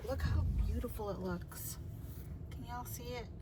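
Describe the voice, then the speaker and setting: Speaking at a moderate pace, a woman with a very deep, low voice is heard with audible room echo. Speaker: vlogger. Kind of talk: casual vlog monologue. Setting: outdoors. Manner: slurred words; rambling, halting.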